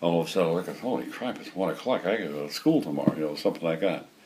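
A man with a New York accent speaks with ordinary pitch variation. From New York City. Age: 80s+. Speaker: retired hobby woodworker. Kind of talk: interview answer. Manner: casual, hesitant. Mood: relaxed, reminiscing. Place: workshop.

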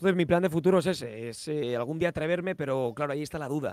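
A man's voice, dry with no echo, over faint background music. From Spain, Valencia; Spain. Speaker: motorsport live commentator and YouTuber; motorsport live commentator, YouTuber. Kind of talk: casual chat. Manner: halting. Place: home room. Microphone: studio mic.

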